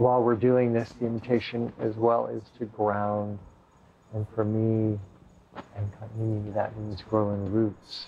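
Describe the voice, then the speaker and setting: A man speaks at a very slow pace in a fairly low pitch with monotone, flat intonation. His tone is soothing, with light background noise. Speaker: sound healing practitioner and meditation guide. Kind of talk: slow guided breathing meditation with grounding-roots visualization. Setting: room with live guests, streamed online. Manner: slow, soothing, drawn-out invitational pacing; casual, chuckling and rambling between segments. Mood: calm, soft-spoken. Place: home room.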